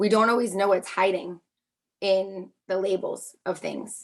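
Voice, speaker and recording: This is a woman speaking at a medium pitch. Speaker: occupational therapist. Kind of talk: online panel talk. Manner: fast.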